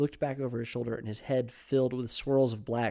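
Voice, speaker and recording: A man speaks in a plain, everyday voice at a medium pitch with fairly even intonation. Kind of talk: horror fiction reading. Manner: warm, storytelling read, gentle and emotive.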